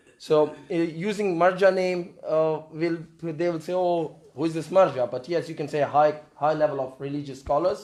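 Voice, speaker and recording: A man with a non-native accent talks at a fairly slow pace, his fairly high pitch held in fairly even intonation. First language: not English. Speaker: community volunteer. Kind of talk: Q&A contribution at training session. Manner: halting.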